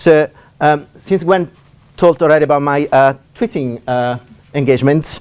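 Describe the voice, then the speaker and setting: In an Italian accent, a man speaks with ordinary pitch variation. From Italy. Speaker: university lecturer. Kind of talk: lecture. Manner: fast; halting. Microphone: laptop.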